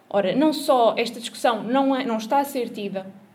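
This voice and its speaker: A woman with a high-pitched voice speaks in a room with audible echo. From Portugal, Coimbra. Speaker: social activist and local candidate. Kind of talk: panel talk at a political forum. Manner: halting, many repetitions.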